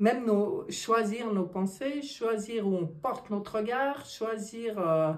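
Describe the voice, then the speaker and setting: A woman speaks at a very slow pace with audible room echo. Her pitch swings very widely. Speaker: tarot card reader. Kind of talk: card reading monologue. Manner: animated.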